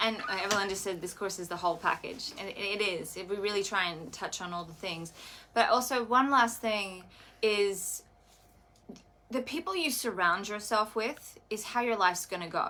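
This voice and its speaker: With an Australian accent, a woman speaks at a moderate pace in a bright, sharp tone, with big swings in loudness. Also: medium pitch for a woman, ordinary pitch variation. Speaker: wellness coach. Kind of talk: live stream chat.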